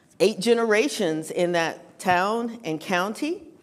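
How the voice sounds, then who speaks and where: Speaking at a fairly slow pace in an American accent, a woman shows ordinary pitch variation amid audible room echo. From Western North Carolina (Morganton). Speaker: writer and speaker on philanthropy. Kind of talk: conference talk.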